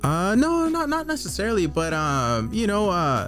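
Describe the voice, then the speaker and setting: With music in the background, a man talks in an American accent. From Southern California; Orange County, California. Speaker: tattoo artist. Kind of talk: interview answer. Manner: soft-spoken.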